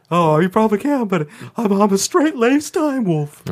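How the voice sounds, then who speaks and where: Someone uses a put-on character voice, fairly high in pitch and delivered at a moderate pace. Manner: casual, knowing guide.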